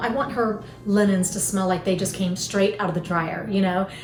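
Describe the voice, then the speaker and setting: Music plays in the background as a woman with a Southern US accent speaks at a medium pitch and moderate pace. Her intonation is fairly even, with audible room echo. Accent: Southern American. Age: 50s. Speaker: lifestyle vlogger. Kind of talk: casual chat.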